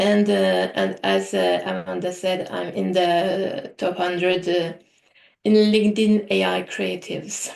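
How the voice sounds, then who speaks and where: A woman's voice in a French accent, at a fairly slow pace. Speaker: AI artist and trainer. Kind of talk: presentation. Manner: hesitant, many fillers.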